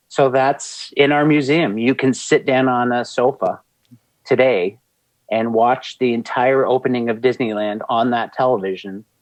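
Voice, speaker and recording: A man with a slight Canadian accent at a medium pitch. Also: ordinary pitch variation, moderate pace. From Canada. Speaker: museum creative director. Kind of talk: interview conversation. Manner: animated.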